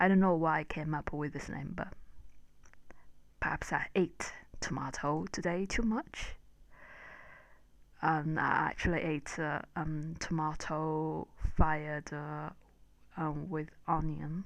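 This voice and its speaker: The voice moves at a very slow pace, with long, frequent pauses and fairly even intonation. The background is quiet. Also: woman, very deep, low pitch for a woman. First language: unnamed spoken home language. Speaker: English learner vlogger. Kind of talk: casual vlog monologue. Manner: halting, many fillers.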